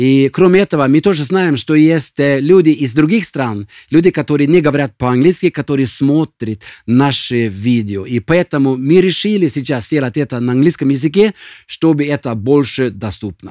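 A man's fairly high, dark and mellow voice at a moderate pace, with lively intonation and a dry, close sound free of echo. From Norway. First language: Norwegian (speaking Russian). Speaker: senior pastor. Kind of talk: podcast introduction. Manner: halting, with frequent fillers.

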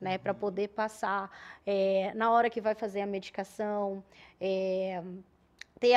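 At a fairly slow pace, a woman talks with fairly even intonation. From Paraná, southern Brazil. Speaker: nurse, emergency unit coordinator; guest. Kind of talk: TV talk show interview. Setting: TV studio, live broadcast. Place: studio. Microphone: studio mic.

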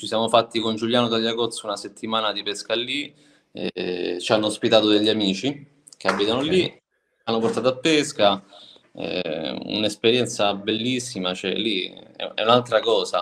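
This man's pitch varies in an ordinary way. He talks at a moderate pace. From Italy, moved around, settled near Rome. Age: 30s. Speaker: security guard and spearfisherman; interview guest. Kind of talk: casual chat. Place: home room. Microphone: video call.

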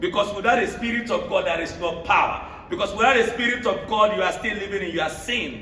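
Over noticeable background noise, a man speaks in a raised, projected voice at a high pitch with an animated tone. He moves at a fairly quick pace with hardly any pauses and ordinary pitch variation. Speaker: preacher. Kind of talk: sermon with call-and-response, preaching to a church congregation. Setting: church. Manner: animated, exhortative, repeats phrases for emphasis, pauses for congregation amens.

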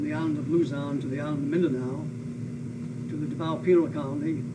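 Over loud background noise, a man with an American accent speaks at a fairly high pitch. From US Pacific Northwest. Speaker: WWII veteran and former prisoner of war, aviator. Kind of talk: oral history interview, elder life story of wartime captivity and rescue. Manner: solemn, matter-of-fact, emphatic on atrocities. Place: home room.

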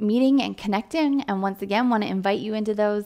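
Over a quiet background, a woman speaks with lively intonation. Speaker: church pastoral staff member. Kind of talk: announcements to a congregation. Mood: warm, welcoming. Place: home room.

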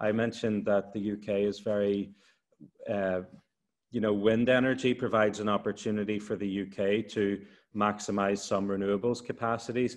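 In an Irish accent, the speaker talks at a moderate pace with monotone, flat intonation against a quiet background. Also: man, fairly low pitch for a man. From Ireland. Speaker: university lecturer on energy transition. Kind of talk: expert explanation. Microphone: video call.

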